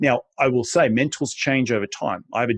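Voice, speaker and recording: Talking very fast in an animated tone, a man shows ordinary pitch variation in a dry, close sound with no echo. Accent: Australian. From Australia. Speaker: real estate investor. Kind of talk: interview. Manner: animated, repetitive restarts.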